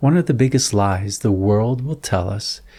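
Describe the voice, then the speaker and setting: Over a silent background in a very clean recording, a man speaks fairly slowly with a dark, mellow, somewhat breathy tone and lively intonation. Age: 40s. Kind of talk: religious reflection monologue.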